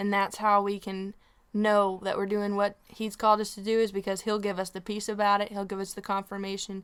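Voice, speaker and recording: In a Southern US accent, a woman talks at a fairly quick pace and medium pitch, on a very clean recording with a silent background. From Tennessee. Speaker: radio host and singer-songwriter. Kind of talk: radio interview.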